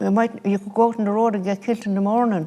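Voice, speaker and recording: A woman speaks at a medium pitch with an Irish Midlands accent. Her intonation stays monotone and flat. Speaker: grandparent. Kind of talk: interview testimony.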